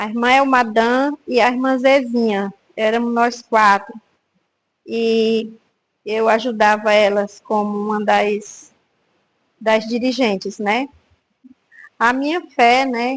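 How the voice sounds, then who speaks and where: A woman speaks with a fairly high pitch and fairly even intonation. Long, frequent pauses break up her words. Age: 60s. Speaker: church prayer group member. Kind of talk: testimony. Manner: hesitant, with filler words.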